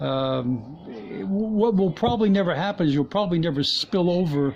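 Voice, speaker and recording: Against noticeable background noise, a man speaks at a moderate pace with a fairly high pitch and lively intonation. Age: 60s. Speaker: motorcycle vlogger. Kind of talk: tutorial. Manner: halting, many fillers.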